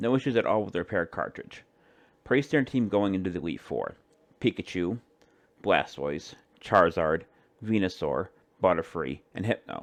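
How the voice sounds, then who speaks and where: A man with fairly low pitch and lively intonation, at a moderate pace with long, frequent pauses, in a quiet background. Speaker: amateur creepypasta narrator. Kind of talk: horror story narration. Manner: stumbles over words.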